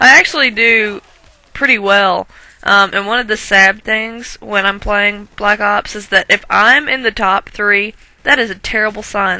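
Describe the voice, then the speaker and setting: A woman with a strong Southern US accent, medium in pitch. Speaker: gaming commentator. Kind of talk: gameplay commentary. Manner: casual, rambling with fillers.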